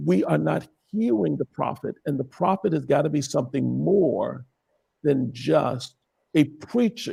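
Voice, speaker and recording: A man's voice with vocal fry at a fairly slow pace. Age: 60s. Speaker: bishop and prophet. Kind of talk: interview conversation. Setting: live stream.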